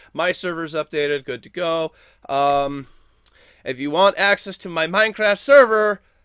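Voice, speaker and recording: Speaking at a moderate pace, a man with a high pitch and a bright, sharp tone uses lively intonation and big swings in loudness, captured on a very clean recording with a silent background and a dry, close sound with no echo. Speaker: gaming news host. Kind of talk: casual chat; news reading. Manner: halting, stammering.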